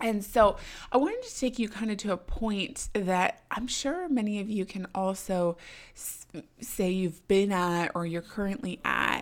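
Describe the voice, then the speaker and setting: A woman with an ordinary speaking voice talks at a fairly slow pace in a medium pitch. Her pitch variation is ordinary, while her loudness swings widely. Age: 20s. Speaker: podcast host. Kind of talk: solo podcast monologue.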